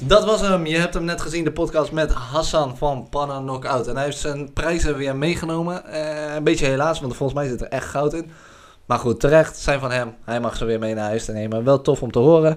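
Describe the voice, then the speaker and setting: Delivered at a fairly quick pace, this is an unremarkable speaking voice with ordinary pitch variation. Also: man, fairly high pitch for a man. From Drenthe, Netherlands. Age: 20s. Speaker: podcast host. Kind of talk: video podcast intro and outro; casual interview.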